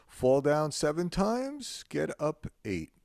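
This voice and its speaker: A man with a dark, mellow tone is heard in a very clean recording with a silent background. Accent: New York. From New York. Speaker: podcast host. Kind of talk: interview.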